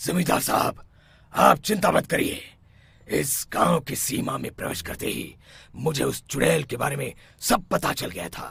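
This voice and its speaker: A man puts on a raspy, cartoonish character voice at a fairly high pitch and a moderate pace. His pitch swings very widely and his loudness rises and falls sharply. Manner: self-assured.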